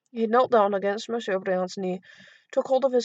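The reading voice is unforced, and its pitch moves in a normal way.

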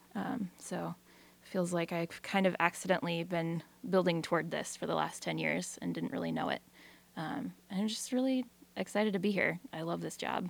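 In a Pacific Northwest accent, a woman talks at a moderate pace. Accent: Pacific Northwest American. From Eastern Washington. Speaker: radio program director. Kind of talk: radio interview.

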